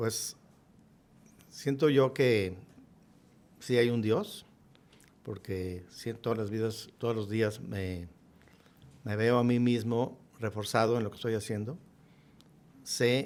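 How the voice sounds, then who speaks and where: Speaking at a fairly slow pace, a man leaves long, frequent pauses. His pitch is medium, and his intonation is fairly even. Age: 60s. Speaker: businessman. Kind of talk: podcast interview.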